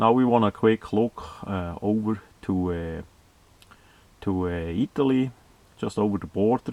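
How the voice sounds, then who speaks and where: A man speaks in a Swiss German accent at a fairly slow pace. The sound is dry and close, with no echo. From Switzerland, German-speaking. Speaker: video blogger. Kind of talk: monologue commentary. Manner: halting, many fillers.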